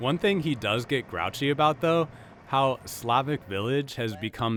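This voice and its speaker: The voice is a normal speaking voice with lively intonation. It moves at a moderate pace. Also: man. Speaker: public radio reporter. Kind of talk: public radio feature narration.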